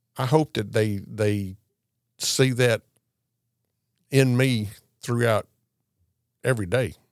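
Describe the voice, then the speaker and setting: With a Southern US accent, the speaker goes at a very slow pace with long, frequent pauses and ordinary pitch variation. The sound is dry and close with no echo. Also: man, medium pitch for a man. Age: 60s. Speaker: Santa Claus performer. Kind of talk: casual interview. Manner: jovial.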